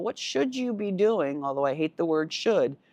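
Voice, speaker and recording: An ordinary speaking voice with lively intonation moves at a moderate pace, its sound dry and close with no echo against a quiet background. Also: woman. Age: 60s. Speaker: finance consultant and podcast host. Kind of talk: casual video podcast monologue. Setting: home living room. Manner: conversational, with fillers and repetitions.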